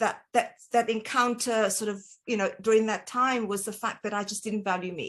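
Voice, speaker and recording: A woman speaks with a South African accent and a fairly high pitch. Her pitch varies in an ordinary way. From South Africa, Cape Town. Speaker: dietitian. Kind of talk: interview.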